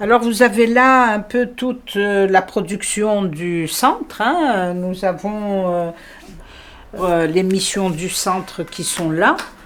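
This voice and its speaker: The speech comes at a very slow pace with ordinary pitch variation and noticeable background noise. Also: woman, medium pitch for a woman. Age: 60s. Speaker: lawyer and law lecturer. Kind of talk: interview. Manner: hesitant, many fillers.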